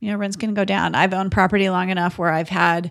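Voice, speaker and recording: On a very clean recording with a silent background, a woman speaks at a fairly quick pace with vocal fry and fairly even intonation. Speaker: podcast co-host and real estate investor. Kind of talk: casual conversational podcast discussion.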